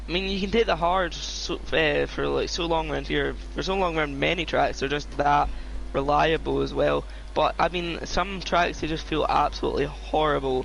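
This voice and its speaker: A man talks at a moderate speed with noticeable background noise behind him. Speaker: sim racing league commentator. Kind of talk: live commentary. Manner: casual, conversational.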